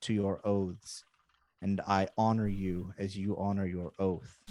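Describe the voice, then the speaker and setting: Putting on a character voice, a man booms out his lines at a fairly low pitch and a fairly slow pace. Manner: loving, kind, warm.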